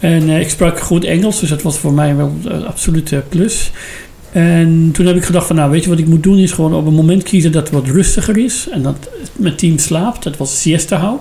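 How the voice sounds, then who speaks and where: Pitched high for a man, his voice moves at a moderate pace with ordinary pitch variation. Noticeable background noise can be heard. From Iran. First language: Persian (speaking Dutch). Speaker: former judge and politician, refugee. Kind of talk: interview.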